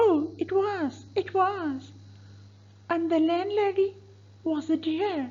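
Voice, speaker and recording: In a put-on character voice, a woman speaks at an extremely high pitch and a very slow pace, with ordinary pitch variation and long, frequent pauses. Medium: stage play. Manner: gushing, chatty.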